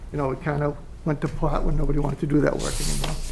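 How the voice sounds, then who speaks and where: Flat and monotone, a man races at a very fast pace over noticeable background noise. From Massachusetts. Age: 60s. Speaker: property owner. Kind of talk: presentation.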